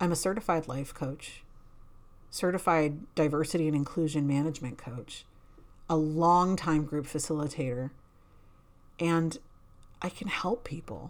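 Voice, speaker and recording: In a very clean recording with a silent background, a woman with a very deep, low pitch speaks at a moderate pace with ordinary pitch variation and long, frequent pauses. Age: 40s. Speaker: life coach podcast host. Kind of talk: personal monologue.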